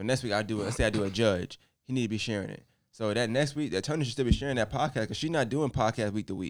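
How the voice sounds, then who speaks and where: At a very fast pace, a man with an American accent speaks at a medium pitch with ordinary pitch variation. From New York, Brooklyn. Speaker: podcast host. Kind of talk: casual group chat between podcasters.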